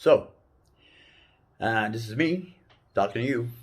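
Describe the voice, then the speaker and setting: A man talks at a moderate pace. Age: 60s. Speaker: life advice giver. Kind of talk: casual talk. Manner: halting.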